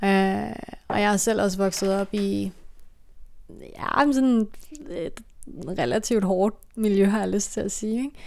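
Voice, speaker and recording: Very slowly and with long, frequent pauses, a woman speaks at a medium pitch with ordinary pitch variation. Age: 20s. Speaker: podcast host. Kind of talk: casual chat.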